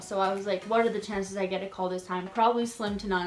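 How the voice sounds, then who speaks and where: A woman at a medium pitch talks at a very fast pace, with audible room echo and noticeable background noise. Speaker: YouTuber. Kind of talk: casual vlog storytelling. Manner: animated.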